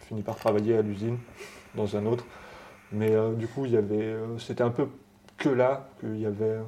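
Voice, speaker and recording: At a fairly quick pace broken by long, frequent pauses, a man speaks at a medium pitch with a dark, mellow tone and monotone, flat intonation. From France, Haute-Savoie. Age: 40s. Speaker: tattoo artist. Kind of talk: interview. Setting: tattoo shop.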